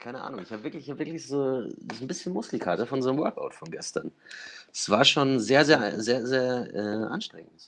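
A man in an unremarkable speaking voice talks at medium pitch and a fairly quick pace, with lively intonation and big swings in loudness. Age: 20s. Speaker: podcast co-host, fashion PR worker. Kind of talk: casual chat.

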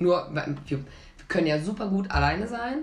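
A fairly low-pitched woman's voice with audible room echo and noticeable background noise. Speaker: podcast co-host. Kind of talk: casual chat.

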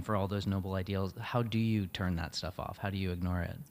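Talking at a fairly quick pace, a man has an unremarkable speaking voice with a fairly low pitch. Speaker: podcast host. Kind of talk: interview conversation.

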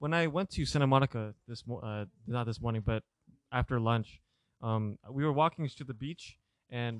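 A man with an unremarkable speaking voice, pitched in the middle range, delivers his words at a moderate speed and with ordinary rise and fall, captured in a very clean recording against a silent background. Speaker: college student. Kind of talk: casual chat.

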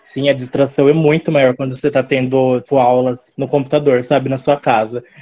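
Monotone and flat, a man with a medium-pitched voice talks at a fairly quick pace with hardly any pauses. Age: 20s. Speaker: journalism student. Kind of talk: casual chat.

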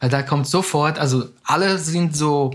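Speaking with a Portuguese accent, a man has a fairly high pitch and a somewhat breathy voice. His pace is moderate, his pitch variation ordinary, and the recording very clean with a silent background. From Brazil. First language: Portuguese (speaking German). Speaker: academic, immigrant. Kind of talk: interview.

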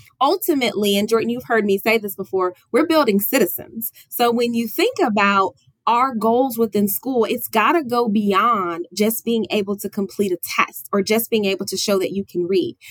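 A woman's plain, everyday voice, fairly high in pitch, at a moderate pace with hardly any pauses, in a dry, close sound with no echo. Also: ordinary pitch variation. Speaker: school district administrator. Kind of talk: casual interview chat.

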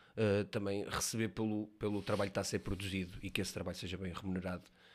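A man talks in a plain, everyday voice. His pitch sits fairly low, and his intonation stays fairly even. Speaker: student podcast host. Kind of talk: interview.

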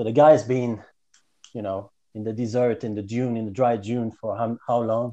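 In a Quebec accent, a man speaks at a moderate pace and medium pitch, his tone dark and mellow and his intonation monotone and flat. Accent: Quebecois French. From Quebec, Canada. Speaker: podcast guest. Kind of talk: casual chat.

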